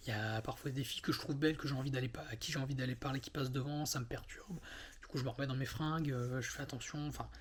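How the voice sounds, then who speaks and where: A man with a medium-pitched, fry-laden voice talks at a very fast clip. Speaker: vlogger. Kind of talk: personal monologue. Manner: halting.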